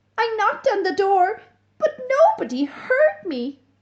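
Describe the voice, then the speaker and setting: The speaker uses a put-on character voice at an extremely high pitch. It leaps through very wide pitch swings. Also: moderate pace. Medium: read story. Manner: polite.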